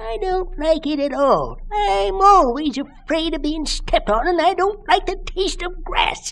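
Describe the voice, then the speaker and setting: A woman's put-on character voice, extremely high-pitched with very wide pitch swings, at a moderate pace with hardly any pauses, over light background noise. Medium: read story. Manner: gruff, salty.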